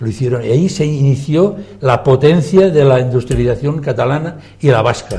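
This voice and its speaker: A man with a dark, mellow tone and some vocal fry speaks at a moderate pace. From Catalonia, Spain. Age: 80s+. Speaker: former politician. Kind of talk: TV debate. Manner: animated.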